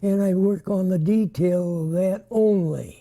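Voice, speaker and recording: Fairly even intonation runs through this man's dark, mellow tone. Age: 80s+. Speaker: digital painter. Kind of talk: interview answer.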